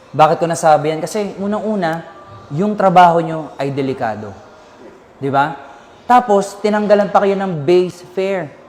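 The speech moves at a moderate pace. Background noise is noticeable throughout. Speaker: lawyer. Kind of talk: legal explanation in interview.

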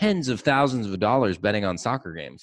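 A man speaks over a quiet background. The sound is dry, with no echo. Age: 40s. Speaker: podcast host, agency owner; podcast host. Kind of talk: casual interview chat. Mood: amused, laughing, relaxed. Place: studio. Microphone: studio mic.

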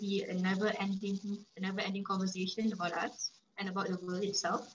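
At a fairly quick pace, a woman speaks in a medium pitch with noticeable background noise. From Malaysia. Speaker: student podcast host; host interviewer. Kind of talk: interview. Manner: halting. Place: home room. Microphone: video call.

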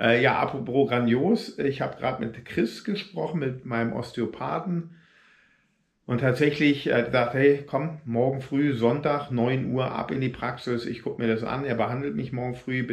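A somewhat breathy man talks at a moderate pace with ordinary pitch variation over a quiet background. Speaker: runner vlogger. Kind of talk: casual vlog chat. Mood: frustrated but grateful. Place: home room. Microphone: phone near.

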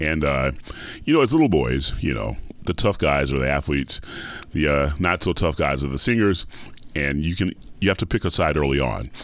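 A man with a very deep, low pitch and an American accent speaks with vocal fry, lively intonation and long, frequent pauses. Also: fairly quick pace. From US South, Atlanta, Georgia. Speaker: opera singer. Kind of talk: interview.

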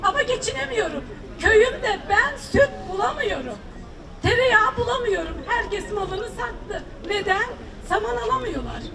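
Against crowd noise in the background, a woman speaks at a fairly slow pace and an extremely high pitch. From Turkey. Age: 60s. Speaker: farmer and retiree, citizen. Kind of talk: public complaint to a politician; public complaint to politician. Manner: emotional, pleading. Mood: earnest, pleading. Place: street.

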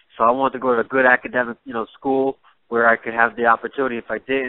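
In a New York accent, a man with a medium pitch talks at a very fast pace with fairly even intonation. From Jamaica, raised in New York. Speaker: MMA fighter. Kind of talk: interview. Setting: phone call.

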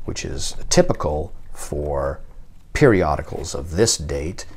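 A man speaks with vocal fry. There is light background noise. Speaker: book seller. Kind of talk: product demonstration commentary. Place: home room.

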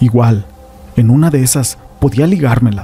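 Music plays in the background as a man speaks at a moderate pace. His pitch is medium, with ordinary variation. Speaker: horror story narrator.

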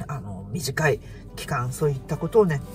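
At a moderate pace, a man talks over loud music in the background. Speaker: vlogger. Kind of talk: casual vlog chat. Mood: cheerful, smiling. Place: car. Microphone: phone near.

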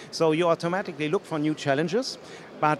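A man with a German accent and a fairly high pitch, dry and echo-free, over light background noise. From Germany. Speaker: tech company evangelist. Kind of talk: casual interview. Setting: conference floor. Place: hall. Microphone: handheld.

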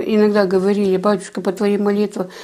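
A woman's dark, mellow voice moves little in pitch.

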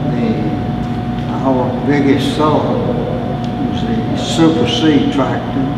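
A man with an American accent talks at a very slow pace. Loud background noise and audible room echo surround him. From Alabama. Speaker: retired farm equipment dealer. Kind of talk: interview answer. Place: empty room.

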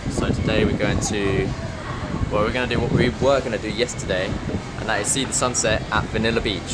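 Loud background noise surrounds a man speaking at a fairly quick pace with ordinary pitch variation. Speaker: travel vlogger. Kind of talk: casual vlog chat. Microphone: phone near.

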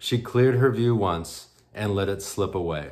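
A man's fairly low, normal speaking voice with lively intonation and a quiet background. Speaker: poet. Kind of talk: poetry reading, performed aloud from written poems. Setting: virtual conference roundtable, recorded video. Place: home room. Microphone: webcam.

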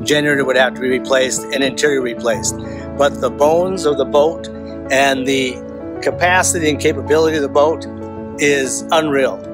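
Clear music plays in the background. The sound is dry, with no echo. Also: man. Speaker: boat owner vlogger. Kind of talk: casual vlog chat. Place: open country. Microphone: phone near.

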